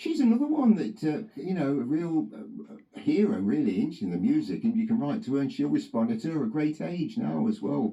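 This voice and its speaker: Against noticeable background noise, a man with a high pitch speaks at a fairly quick pace with hardly any pauses and very wide pitch swings. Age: 60s. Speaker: autograph collector. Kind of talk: radio interview. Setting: radio studio. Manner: halting.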